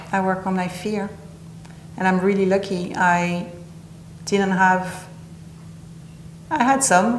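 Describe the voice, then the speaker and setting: At a very slow pace with long, frequent pauses, a woman speaks amid noticeable background noise and audible room echo. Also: medium pitch for a woman, fairly even intonation. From southern France (Nice). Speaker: interview guest, healing practitioner. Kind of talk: interview.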